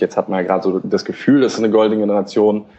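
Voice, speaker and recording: A man talks in a fairly low pitch. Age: 20s. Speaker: football blogger. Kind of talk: casual chat. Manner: halting.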